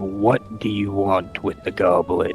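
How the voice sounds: A man's croaky, put-on character voice, fairly low in pitch and fairly slow, with clear music in the background.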